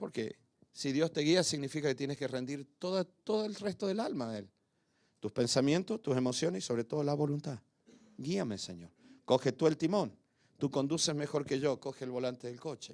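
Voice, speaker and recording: On a very clean recording with a silent background, a man with a fairly high pitch speaks with lively intonation and an animated tone. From Argentina. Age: 60s. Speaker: pastor. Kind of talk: sermon.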